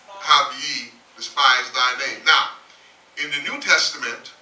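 Over light background noise and audible room echo, a man speaks at a fairly slow pace. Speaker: pastor. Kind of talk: sermon. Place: church.

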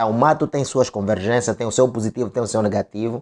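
The background is quiet. A man is speaking. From Angola. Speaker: online commentator. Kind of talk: political commentary monologue. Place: home room. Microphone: lapel.

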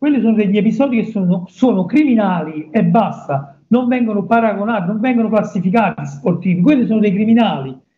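A man's high-pitched voice, with ordinary pitch variation and a fairly quick pace. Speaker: interviewee. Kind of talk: interview answer. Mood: indignant, emphatic. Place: office. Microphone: video call.

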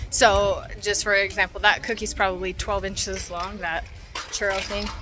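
Over clear background music, a woman speaks at a moderate pace. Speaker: travel vlogger. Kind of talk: casual vlog chat. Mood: upbeat, enthusiastic. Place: street. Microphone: phone near.

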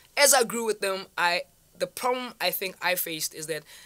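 A woman speaks at a fairly quick pace with a bright, sharp tone and lively intonation against a quiet background. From South Africa, Vaal; South Africa. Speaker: online entrepreneur; interview guest. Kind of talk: interview. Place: studio. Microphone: studio mic.

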